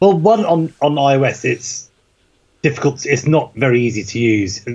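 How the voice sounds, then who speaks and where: A man speaks at a moderate pace in a Norfolk accent, his fairly high voice somewhat breathy and his intonation lively. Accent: Norfolk accent, self-described as dodgy. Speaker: tech podcast host. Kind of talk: casual chat. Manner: animated.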